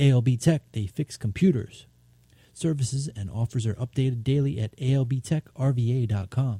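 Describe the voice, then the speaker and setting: A man speaks at a fairly slow pace in a relaxed, warm tone that is dark, mellow and somewhat breathy. His pitch varies in an ordinary way, and the sound is dry and close with no echo. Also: medium pitch for a man. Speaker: community radio DJ. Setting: radio studio broadcast. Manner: relaxed, conversational and hesitant, with frequent 'uh' and 'um' fillers; warm, enthusiastic and upbeat, rattling off track and artist credits.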